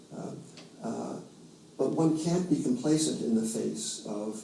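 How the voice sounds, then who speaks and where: Audible room echo surrounds the speech. Pitch varies in an ordinary way at a moderate pace. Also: man. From New York. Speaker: financial commentator. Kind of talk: interview. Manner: halting, many fillers and restarts.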